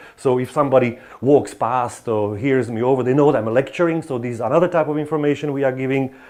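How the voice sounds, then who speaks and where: Talking at a very fast pace, a man with a Slovak accent sounds animated. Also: medium pitch for a man. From Slovakia. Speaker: professor. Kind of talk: lecture. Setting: lecture hall with students.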